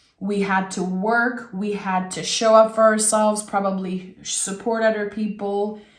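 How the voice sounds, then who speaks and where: In a warm tone at medium pitch, a woman speaks at a fairly slow pace with hardly any pauses and monotone, flat intonation, with audible room echo. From Quebec. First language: French. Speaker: tarot reader. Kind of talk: tarot reading. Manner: warm, conversational.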